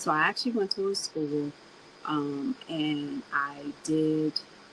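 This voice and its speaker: This woman has a very deep, low pitch and an American accent. Noticeable background noise is present. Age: 40s. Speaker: podcast host. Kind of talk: casual personal monologue. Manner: animated.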